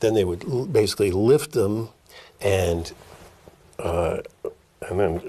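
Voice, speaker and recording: Over noticeable noise in the background, a man speaks fairly slowly. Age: 70s. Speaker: activist journalist. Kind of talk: interview. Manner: halting.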